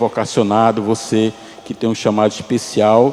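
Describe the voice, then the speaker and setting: A man speaks against noticeable background noise. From Pernambuco, Brazil. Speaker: missionary pastor. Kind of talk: sermon.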